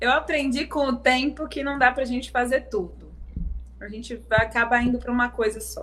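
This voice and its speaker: Noticeable background noise sits behind the recording. A woman with a high pitch speaks at a moderate pace. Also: fairly even intonation. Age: 30s. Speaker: singer and songwriter. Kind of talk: casual interview. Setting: live-streamed video interview.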